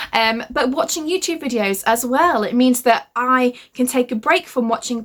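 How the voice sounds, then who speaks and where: A loud woman's voice, high-pitched, at a moderate pace. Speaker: young adult fantasy author. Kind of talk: casual talk to camera. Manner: loud, hyper.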